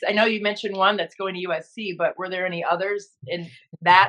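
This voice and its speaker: At a fairly quick pace, a woman with medium pitch and fairly even intonation speaks in a plain, everyday voice. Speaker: podcast host, television broadcaster. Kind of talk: sports podcast host.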